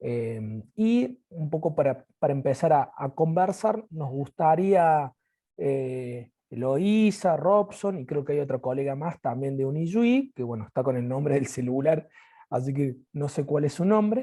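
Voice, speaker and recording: Fairly high-pitched, a man speaks in a dark, mellow, somewhat breathy tone. His intonation is lively and his pace fairly slow. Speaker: university physical education lecturer. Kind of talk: video call panel moderation.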